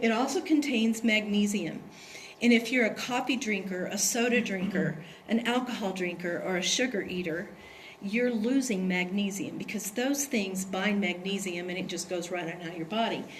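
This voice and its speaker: A woman's medium-pitched voice with ordinary pitch variation at a moderate pace, amid noticeable background noise and audible room echo. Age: 60s. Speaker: product distributor presenter. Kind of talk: sales presentation.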